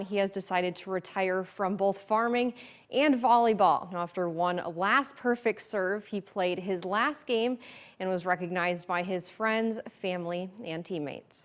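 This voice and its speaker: Her pitch sits at a medium level and varies in an ordinary way as a woman with an unremarkable speaking voice goes along at a moderate pace. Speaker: TV news reporter. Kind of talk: TV news report.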